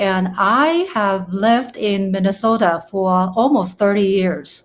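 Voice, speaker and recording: A woman speaks at a medium pitch with fairly even intonation. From China. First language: Chinese. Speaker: panel guest. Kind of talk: panel discussion.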